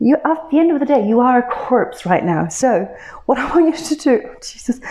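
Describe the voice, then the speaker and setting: Against noticeable background noise, a woman with a high-pitched voice talks at a moderate pace. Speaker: yoga teacher. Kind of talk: guided yoga class instruction.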